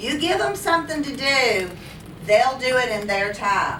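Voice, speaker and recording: Raised, projected voice at a fairly slow pace, with lively intonation, audible room echo and noticeable background noise. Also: woman. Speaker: teacher. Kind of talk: lecture. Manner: animated.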